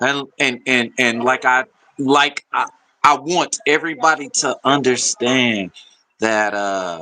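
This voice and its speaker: An American-accented man at a very slow pace, with lively intonation. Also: medium pitch for a man. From South Texas. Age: 40s. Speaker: livestreamer. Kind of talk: casual livestream chat. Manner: halting, repeats words.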